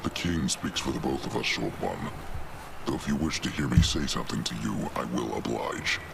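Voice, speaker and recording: Someone performs a put-on character voice at a moderate pace. Loud background noise is present. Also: man. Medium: game stream. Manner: terse, measured.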